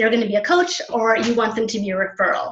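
The speaker is a woman. Audible room echo surrounds her voice. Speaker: presenter. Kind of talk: presentation on a call. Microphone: video call.

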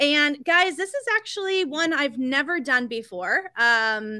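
Bright and sharp in tone, a woman's raised, projected voice carries over a quiet background. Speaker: store event host. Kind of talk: live stream presentation intro. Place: home room. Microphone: webcam.

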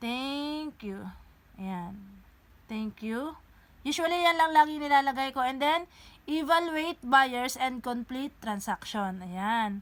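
In a very clean recording with a silent background, a woman speaks at a very slow pace in a high pitch, with lively intonation and big swings in loudness. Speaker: online seller tutorial maker. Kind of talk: tutorial. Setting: screen recording tutorial; living in Japan. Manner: instructional, casual.

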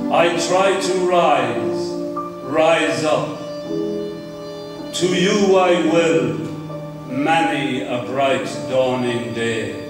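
Clear music plays in the background as a man speaks at a very slow pace amid audible room echo. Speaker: poet. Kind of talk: poetry reading. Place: home room.

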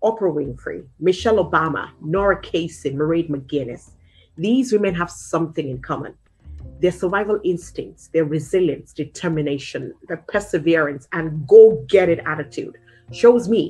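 Lively intonation from a woman with a fairly low voice at a moderate pace, faint music in the background. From Nigeria. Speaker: local politician, television presenter. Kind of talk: interview answer. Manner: energetic. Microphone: webcam.

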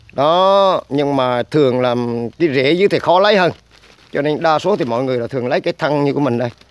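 In an ordinary speaking voice, a man talks at a moderate pace with fairly high pitch and ordinary pitch variation, the sound dry with no echo. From Vietnam. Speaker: herbal medicine channel host. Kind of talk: tutorial. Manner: filler-heavy casual delivery. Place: street. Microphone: phone near.

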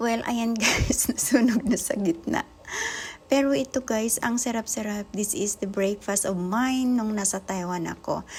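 With noticeable background noise behind her, a woman speaks at a fairly slow pace and a fairly high pitch. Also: ordinary pitch variation. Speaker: vlogger. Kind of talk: casual cooking vlog.

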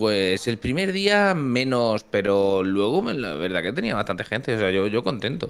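A man with an ordinary speaking voice talks at a fairly slow pace with hardly any pauses, a fairly low pitch and lively intonation. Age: 20s. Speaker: YouTuber. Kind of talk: casual chat.

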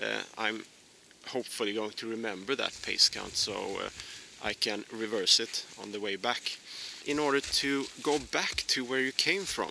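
A man speaks at a moderate pace with ordinary pitch variation. The sound is dry with no echo, with light background noise. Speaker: presenter. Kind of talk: tutorial. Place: forest. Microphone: phone near.

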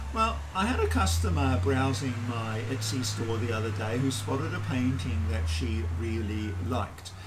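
Speech moves at a moderate pace while clearly audible background noise runs beneath it. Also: man. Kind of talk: tutorial. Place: garage.

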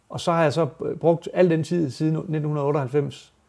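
Quiet background, and a man with a dark, mellow tone. His pitch is fairly high and his intonation fairly even. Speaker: rapper. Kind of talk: interview answers. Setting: studio. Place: studio. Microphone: lapel.

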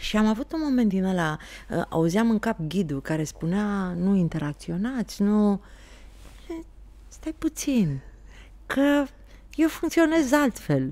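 In a dark, mellow voice, a woman speaks very slowly with long, frequent pauses and very wide pitch swings. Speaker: podcast guest. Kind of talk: interview answer. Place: studio. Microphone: studio mic.

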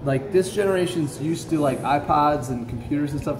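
Noticeable background noise accompanies a man's voice. He speaks at a fairly quick pace with ordinary pitch variation. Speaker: shop teacher. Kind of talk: lecture. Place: workshop. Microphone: phone near.

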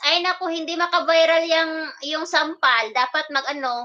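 Her voice raised and projected, a woman speaks in a bright, sharp tone with ordinary pitch variation. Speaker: live-streaming vlogger. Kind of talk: casual live stream chat with viewers. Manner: animated.

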